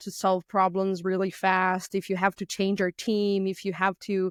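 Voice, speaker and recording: A woman speaks at a medium pitch with a Brazilian Portuguese accent, her voice dry and close with no echo on a very clean recording against a silent background. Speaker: physical pen tester and red teamer. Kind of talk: podcast interview. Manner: occasional halting and word searching.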